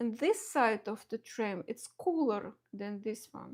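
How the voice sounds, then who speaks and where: A woman with a strong Russian accent, fairly high-pitched, speaking at a very slow pace. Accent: heavy Russian. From Belarus. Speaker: watercolor artist. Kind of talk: live painting tutorial. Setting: home studio live stream. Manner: halting, many fillers and restarts.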